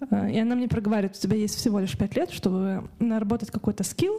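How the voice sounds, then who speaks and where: Through noticeable background noise comes a woman's fairly high-pitched voice. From Kazakhstan, Karaganda. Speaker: artist and illustrator. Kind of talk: interview. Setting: studio.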